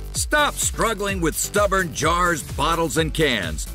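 The speaker goes at a fairly slow pace while music plays in the background. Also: man. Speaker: infomercial narrator. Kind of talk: TV infomercial read. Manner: upbeat, salesy.

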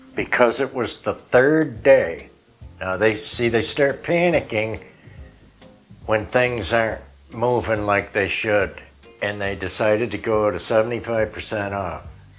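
A man at a very slow pace with ordinary pitch variation, faint music in the background. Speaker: home vlogger showing a shopping haul. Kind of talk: casual vlog chat. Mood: amused, regretful storytelling. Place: home room. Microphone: lapel.

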